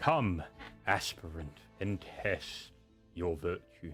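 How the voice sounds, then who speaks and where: In a put-on character voice, a man talks very slowly with a rumbling, very deep, low pitch, ordinary pitch variation and faint music behind him. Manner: ominous, challenging.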